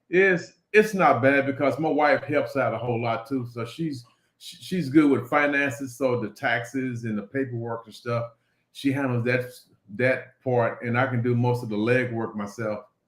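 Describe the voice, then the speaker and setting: In an unremarkable speaking voice, a man of medium pitch speaks at a moderate pace with ordinary pitch variation and big swings in loudness. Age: 60s. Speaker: business owner. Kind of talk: interview.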